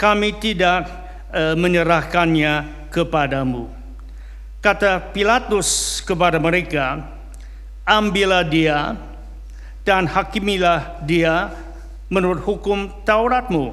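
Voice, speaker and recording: Against noticeable background noise and audible room echo, a man speaks at a very slow pace with long, frequent pauses. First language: not Indonesian (speaking Indonesian). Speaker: pastor. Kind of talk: sermon; reading aloud. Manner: halting, frequent fillers.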